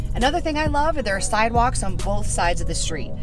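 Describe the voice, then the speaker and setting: A woman talks at a very fast pace over clear music in the background. The sound is dry, with no echo. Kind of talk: casual vlog chat. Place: car. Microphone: phone near.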